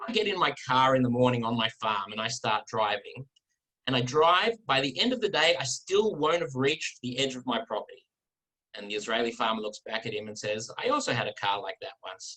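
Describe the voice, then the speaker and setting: A man with an Australian accent talks at a fairly quick pace and medium pitch. His tone is bright and sharp, with lively intonation. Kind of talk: talk to an online audience. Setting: video call.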